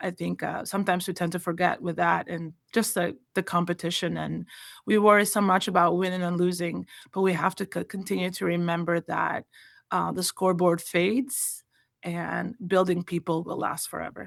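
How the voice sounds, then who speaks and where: A woman with a fairly low pitch and vocal fry talks at a moderate pace in a monotone, flat intonation. The recording is very clean, with a silent background. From Albania. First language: Albanian. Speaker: college volleyball coach. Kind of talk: interview.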